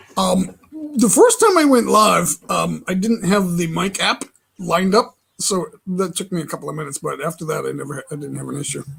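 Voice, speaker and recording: Big swings in loudness from a man talking at a fairly quick clip. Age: 60s. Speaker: live streamer. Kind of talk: casual chat.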